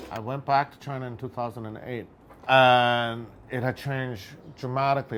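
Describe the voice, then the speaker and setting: A man with an American accent talks at a moderate pace. He has an ordinary speaking voice, medium in pitch, with fairly even intonation. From United States. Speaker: photographer. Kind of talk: personal documentary narration.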